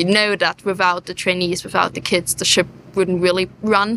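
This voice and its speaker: A woman with a German accent speaks fairly quickly at a medium pitch, her tone bright and sharp and her intonation flat and monotone. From southeast Germany. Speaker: sail training watch leader. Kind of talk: interview on location. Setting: on board a moored ship.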